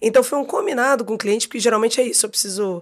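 A woman talks at a fairly high pitch that varies in an ordinary way. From Rio de Janeiro, Brazil. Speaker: advertising creative director and actress. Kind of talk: casual chat.

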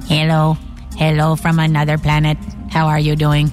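Over clear music in the background, a put-on character voice at a middle pitch speaks at a moderate pace. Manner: stereotyped sci-fi greeting.

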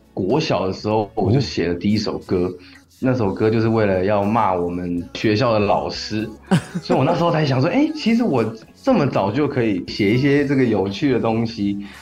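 Over music in the background, a man with a Taiwanese accent speaks at a fairly low pitch and a moderate pace, with lively intonation and very even loudness. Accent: Taiwanese Mandarin. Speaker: singer-songwriter. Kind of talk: interview. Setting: radio studio.

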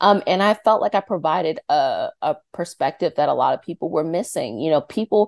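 Against a quiet background, someone with a Mid-Atlantic American accent talks at a moderate pace, recorded dry and close with no echo. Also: woman. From Northern Virginia (Arlington). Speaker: energy healer and YouTube creator. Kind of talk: interview.

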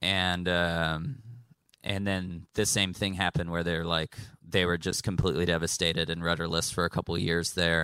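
A bright, sharp tone with an American accent, fairly even intonation and a moderate pace, on a very clean recording with a silent background. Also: man, very deep, low pitch for a man. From Texas. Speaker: musician. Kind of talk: panel discussion. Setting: stage with audience.

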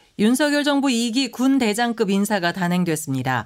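The voice moves at a fairly slow pace with very wide pitch swings. It is a very clean recording with a silent background. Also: woman. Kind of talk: news reading. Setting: studio.

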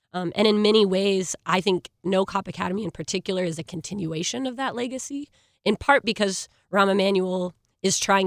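A woman speaks at a fairly quick pace in an ordinary speaking voice, medium in pitch with ordinary pitch variation, recorded very cleanly against a silent background with a dry, close sound and no echo. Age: 20s. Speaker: youth activist organizer. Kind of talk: panel discussion.

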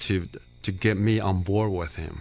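This man's voice sits fairly low. He speaks fairly slowly in a flat monotone. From Taiwan. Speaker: pastor and author. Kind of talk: radio interview. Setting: studio.

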